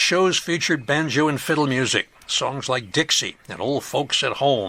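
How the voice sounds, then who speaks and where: At a moderate pace, a man speaks in a bright, sharp tone with a fairly high pitch and ordinary pitch variation. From US Midwest, Chicago suburbs. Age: 70s. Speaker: podcast host, local historian. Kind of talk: podcast narration.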